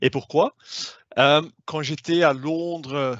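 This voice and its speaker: A man with a non-native accent speaks at a very slow pace, his intonation fairly even. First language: not French (speaking French). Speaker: sales manager. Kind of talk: webinar presentation. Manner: hesitant, many fillers.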